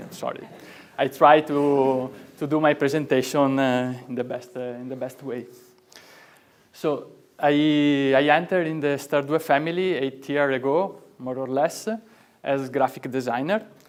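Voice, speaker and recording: A man with an Italian accent, fairly high pitch, fairly even intonation and a fairly slow pace. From Italy. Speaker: product and graphic designer. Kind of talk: product presentation. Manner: halting.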